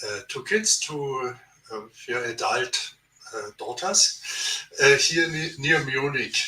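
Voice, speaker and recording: A man speaks very slowly with a German accent. His fairly high voice has lively intonation and big swings in loudness. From Germany. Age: 70s. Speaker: theologian. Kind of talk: podcast interview. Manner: halting.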